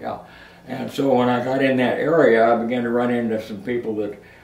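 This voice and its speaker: Noticeable background noise behind a man speaking at a medium pitch with fairly even intonation. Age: 80s+. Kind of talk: interview answer. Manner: slow, hesitant.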